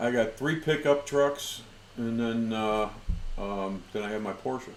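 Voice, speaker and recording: Audible room echo is heard as a man at medium pitch talks. He speaks at a fairly slow pace with ordinary pitch variation. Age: 60s. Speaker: whiskey show host. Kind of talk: casual chat.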